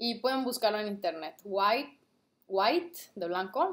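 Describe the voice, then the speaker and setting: Her intonation is lively and her pitch sits in the medium range. The woman speaks at a fairly slow pace. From Mexico, Guadalajara, Jalisco. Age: 20s. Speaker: vlogger and trader; vlogger. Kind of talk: casual product review vlog. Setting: at home, late at night. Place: home room. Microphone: webcam.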